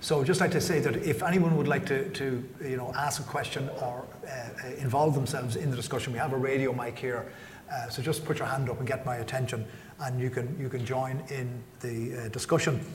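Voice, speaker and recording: Irish-accented man at a medium pitch, fairly quick pace and fairly even intonation, with noticeable background noise. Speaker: magazine editor and moderator. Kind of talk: panel discussion. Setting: stage with audience.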